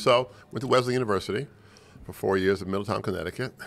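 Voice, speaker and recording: A man with an American accent talks at a very fast pace, his fairly low pitch showing ordinary variation. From Los Angeles, US. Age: 70s. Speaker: lawyer and business mentor; lawyer. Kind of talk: casual interview conversation. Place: studio. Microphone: studio mic.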